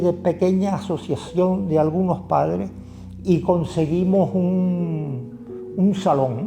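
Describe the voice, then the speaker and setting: A man with a high pitch, music playing in the background. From Canary Islands, Tenerife (La Orotava). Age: 70s. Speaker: community activist. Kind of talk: interview answer.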